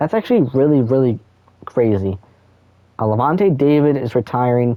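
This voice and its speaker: With a plain, everyday voice, a man speaks at medium pitch and a moderate pace, his intonation lively. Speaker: gaming YouTuber. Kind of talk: gameplay commentary.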